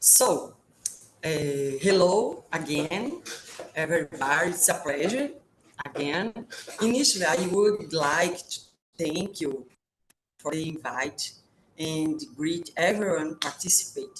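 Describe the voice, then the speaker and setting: The speaker has a Brazilian Portuguese accent and lively intonation. The pace is fairly slow, with long, frequent pauses. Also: woman, fairly low pitch for a woman. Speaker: professor. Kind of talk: webinar presentation. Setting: video call. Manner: halting, with many filler sounds.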